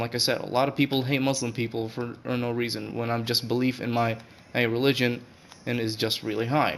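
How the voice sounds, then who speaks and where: A man's medium-pitched, monotone voice with flat intonation, at a fairly quick pace. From Saudi Arabia. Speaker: gaming YouTuber. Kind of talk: casual commentary video. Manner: halting.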